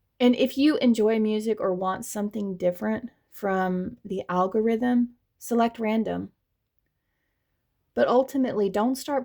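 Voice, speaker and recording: A woman's fairly high voice with a dark, mellow tone and a slight Southern US accent, fairly slow and with ordinary pitch variation, on a very clean recording with a silent background. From US South. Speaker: tarot reader. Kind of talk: tarot reading monologue.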